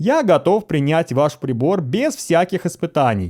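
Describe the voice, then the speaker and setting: On a very clean recording with a silent background, a man does a drawling put-on character voice, high in pitch, with very wide pitch swings at a moderate pace. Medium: read story. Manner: lazy drawl, cynical.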